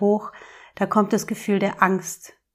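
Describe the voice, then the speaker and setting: On a very clean recording with a silent background, a woman with an unremarkable speaking voice talks at a fairly slow pace in a medium pitch. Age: 40s. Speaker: podcast host, emotions coach. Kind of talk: solo podcast monologue, advice talk.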